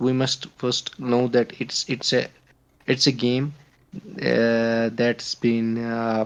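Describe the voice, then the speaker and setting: At a very slow pace, a man with a non-native accent speaks at medium pitch with monotone, flat intonation. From Kashmir, India. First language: not English. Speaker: podcast guest, gamer. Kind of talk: casual chat. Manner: halting, many fillers.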